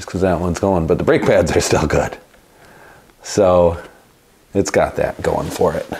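A man with an American accent talks at a moderate pace. He leaves long, frequent pauses over light background noise. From US Midwest. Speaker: bike repair shop owner and YouTuber. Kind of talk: tutorial. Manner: casual, conversational. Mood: relaxed, wry. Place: workshop.

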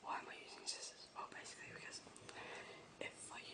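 A soft-spoken man whispers in a calm tone at a fairly quick pace. Loud background noise is present. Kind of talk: role-play comedy chat. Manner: soft whisper, calm barber explanation. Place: home room. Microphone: phone near.

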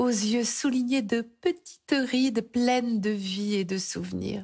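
Speech unfolds very slowly. The recording is very clean and the background silent. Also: woman. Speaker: storyteller reading a tale aloud. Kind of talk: bedtime story, scripted tale read aloud. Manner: soft, slow, soothing and dreamy, gently lulling.

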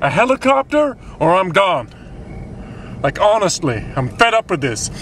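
The voice is raised and projected, the sound dry with no echo, over light background noise. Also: man. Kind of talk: mockumentary interview monologue. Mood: frustrated, complaining. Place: car.

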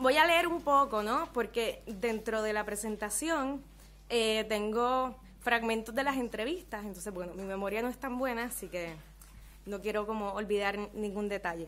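A woman speaks at a moderate pace with a fairly high pitch and ordinary pitch variation. It is an ordinary speaking voice. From Puerto Rico. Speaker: ethnographer researcher; presenter. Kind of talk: reading a paper aloud. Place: meeting room. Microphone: podium.

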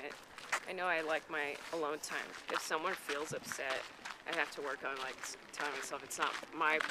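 A woman with a very deep, low pitch at a moderate pace, a dry sound with no echo, and loud background noise. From Mexican-American. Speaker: comedian. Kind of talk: casual interview answer. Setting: outdoors. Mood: reflective, candid. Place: open country. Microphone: camera far.

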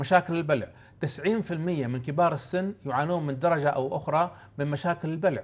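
Speaking at a moderate pace, a man with a fairly high pitch has a plain, everyday voice and fairly even intonation. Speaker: professor of phoniatrics. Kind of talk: TV interview. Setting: studio. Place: studio. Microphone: lapel.

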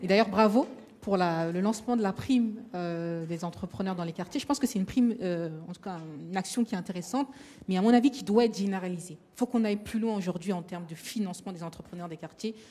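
Words come at a very fast pace, with ordinary pitch variation. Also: woman. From Paris suburbs, Seine-Saint-Denis. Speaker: association founder and moderator. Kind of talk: roundtable discussion. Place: hall. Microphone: handheld.

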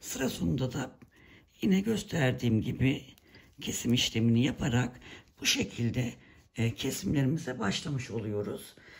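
A woman's very deep, low voice at a moderate pace, with lively intonation and long, frequent pauses. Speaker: knitting tutorial creator. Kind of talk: tutorial. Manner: hesitant with many fillers.

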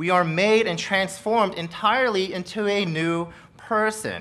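This is a man's voice. His pitch is high. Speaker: pastor. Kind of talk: sermon. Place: church. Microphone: podium.

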